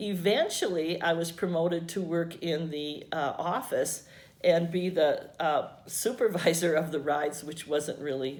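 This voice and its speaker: The speaker has an American accent and a moderate pace with ordinary pitch variation. Audible room echo is present. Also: woman. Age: 70s. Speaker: retired teacher. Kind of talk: oral history interview. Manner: halting, with fillers.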